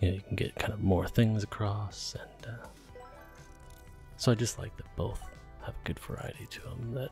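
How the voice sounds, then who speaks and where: A soft-spoken man with a fairly low voice talks at a moderate pace, his loudness swinging widely. His intonation stays fairly even, broken by long, frequent pauses, with music playing in the background. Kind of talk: ASMR gameplay commentary.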